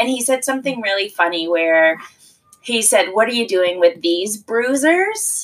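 A woman with an unremarkable speaking voice and a Canadian accent, fairly high in pitch, with lively intonation at a fairly slow pace. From Maritimes, Canada. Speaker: mother. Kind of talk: casual chat.

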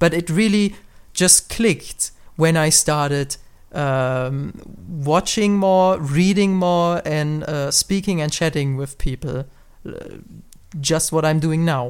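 A very slow voice in a German accent, with long, frequent pauses on a very clean recording with a silent background. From Germany. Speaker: podcast host. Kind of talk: casual podcast conversation.

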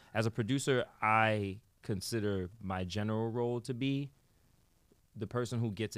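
A man with a New York accent speaks fairly slowly at a fairly low pitch. His intonation stays fairly even, and the recording is very clean with a silent background. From New York, the Bronx. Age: 30s. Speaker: musician and producer. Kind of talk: interview. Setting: studio.

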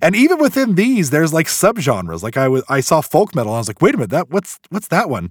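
A man's fairly high voice with vocal fry, very wide pitch swings, and a very fast pace, in a dry, close sound with no echo. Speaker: podcast host. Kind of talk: casual chat.

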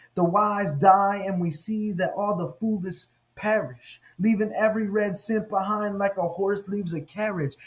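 Here a man speaks in a high pitch with ordinary pitch variation. His pace is fairly slow. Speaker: podcast host and Bible scholar. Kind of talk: poet spoken word. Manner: rhythmic, rhyming delivery with punchy end-rhymes, like a slam poet.

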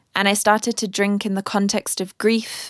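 A woman with a British accent speaks at a medium pitch in a monotone, flat way, on a very clean recording with a silent background and a dry, close sound with no echo. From UK. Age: 30s. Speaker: podcast host and artist. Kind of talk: personal monologue.

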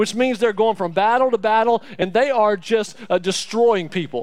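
A man with an Alabama accent speaks in an animated tone. His pitch is high with ordinary variation, and his pace is moderate. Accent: Southern US (Alabama). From Alabama, US South. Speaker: church staff member preaching as guest speaker. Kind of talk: sermon. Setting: church.

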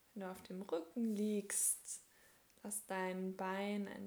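The tone is calm and soothing. The pace is very slow. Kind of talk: guided meditation (yoga nidra). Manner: slow, soft, calm and soothing, with long pauses; gentle, unhurried, coaxing.

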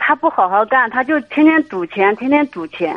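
With a high pitch and lively intonation, a woman speaks. The sound is dry and close, with no echo. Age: 50s. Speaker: caller seeking marriage advice. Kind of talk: phone-in advice call.

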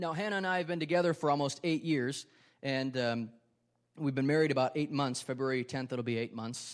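At a moderate pace, a man speaks at a medium pitch with ordinary pitch variation in a very clean recording with a silent background. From Wisconsin, Ripon. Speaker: pastor. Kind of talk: sermon. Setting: church.

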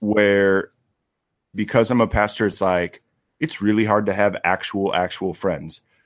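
At a fairly slow pace, a man with an ordinary speaking voice talks at fairly low pitch, with fairly even intonation and very even loudness. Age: 30s. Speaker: pastor. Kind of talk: casual chat.

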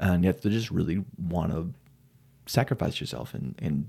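Very deep and low, a man's voice has a dark, mellow tone and vocal fry. He moves at a moderate pace with very wide pitch swings. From New Mexico, Silver City. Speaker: metal drummer. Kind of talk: casual chat.

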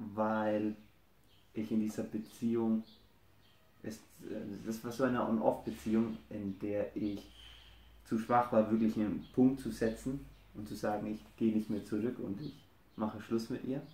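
A man's medium-pitched voice, dark and mellow, with monotone, flat intonation, a fairly slow pace and long, frequent pauses. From Germany, Franconia. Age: 20s. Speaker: husband of a guest couple. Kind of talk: casual interview.

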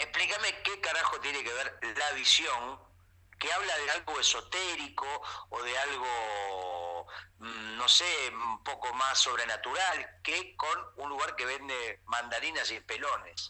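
Speaking with an Argentine accent, a man uses a fairly high pitch, lively intonation and a fairly slow pace. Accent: Rioplatense Argentine Spanish. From Argentina. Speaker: comedian and writer. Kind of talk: comedic casual chat. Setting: WhatsApp call.

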